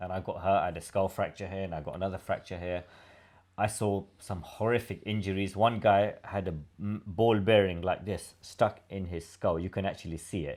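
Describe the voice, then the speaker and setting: In a British accent, a man with a fairly low pitch speaks at a moderate pace with fairly even intonation on a very clean recording with a silent background. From London, England. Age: 50s. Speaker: former prisoner telling his life story. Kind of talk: casual interview chat. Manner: halting, many fillers.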